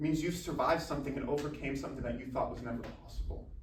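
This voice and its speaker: Audible room echo and noticeable background noise around a man's fairly high-pitched speech. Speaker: college athlete and motivational speaker. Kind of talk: motivational speech. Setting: speaking to a university club. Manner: formal.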